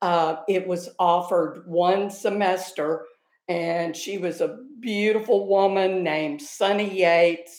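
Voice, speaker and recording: A woman talks at a very slow pace with a Texan accent. Her pitch is medium, with ordinary variation. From North Texas. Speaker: retired high school theater director. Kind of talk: casual chat.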